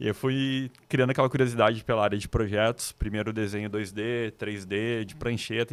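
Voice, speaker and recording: A man with a southern Brazilian accent speaks at a moderate pace, his medium-pitched voice carrying fairly even intonation. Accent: gaúcho. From Rio Grande do Sul, Brazil (Novo Hamburgo). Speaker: designer. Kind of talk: podcast interview.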